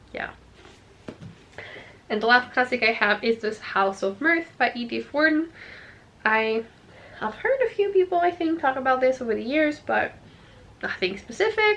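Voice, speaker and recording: This woman's high-pitched voice makes very wide pitch swings. She keeps a moderate pace broken by long, frequent pauses. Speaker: book YouTuber. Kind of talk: casual talk to camera.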